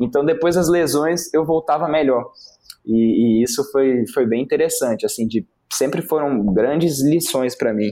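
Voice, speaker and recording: Speaking at a fairly slow pace, a man with a fairly high pitch and a dark, mellow tone keeps his loudness very even. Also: ordinary pitch variation. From Brasília, Brazil. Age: 20s. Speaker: rock climber. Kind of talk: casual interview.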